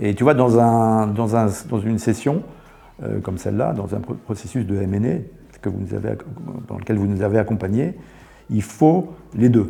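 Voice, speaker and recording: The speech moves at a moderate pace with ordinary pitch variation and long, frequent pauses over noticeable background noise. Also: man, fairly low pitch for a man. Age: 60s. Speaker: company founder, entrepreneur. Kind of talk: interview. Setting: studio. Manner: halting, many fillers and repetitions.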